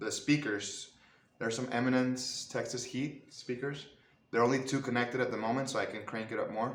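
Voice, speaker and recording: A man with a non-native accent speaks at medium pitch. The room echo is audible. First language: not English. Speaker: guitarist, YouTuber. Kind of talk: tutorial. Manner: halting, many fillers.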